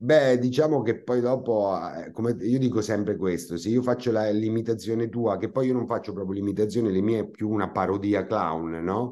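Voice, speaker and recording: A man in a Marche accent, fairly low in pitch and dark and mellow in tone, at a moderate pace with ordinary pitch variation and hardly any pauses. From Marche, Italy. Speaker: comic actor; comic stage actor. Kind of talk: interview. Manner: hesitant, with many fillers. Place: home room. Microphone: video call.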